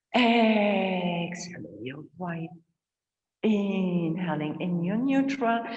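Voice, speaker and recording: Audible room echo surrounds a woman who talks very slowly with lively intonation. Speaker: yoga teacher. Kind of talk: guided yoga class. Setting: online class.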